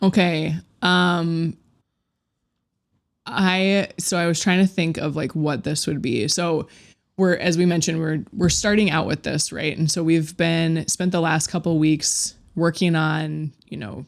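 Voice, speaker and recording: Her pitch fairly low, a woman talks at a fairly slow pace with an American accent. Her intonation is fairly even, and the recording is very clean with a silent background. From Minnesota. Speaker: podcast co-host. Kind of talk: casual chat.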